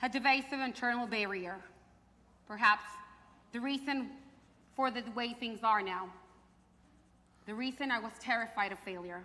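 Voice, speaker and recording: Bright, sharp tone from a woman with a fairly high pitch, ordinary pitch variation, a moderate pace and audible room echo. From Mexico and Fresno, California. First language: Spanish. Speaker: theater performer. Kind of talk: staged performance.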